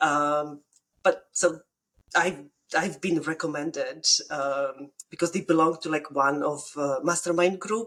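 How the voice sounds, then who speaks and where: A woman speaks with a very deep, low pitch and fairly even intonation. Long pauses come often. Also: fairly slow pace. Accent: Polish. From Poland. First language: Polish. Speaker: bookkeeper, business owner. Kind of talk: casual podcast interview. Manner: halting, many fillers and restarts.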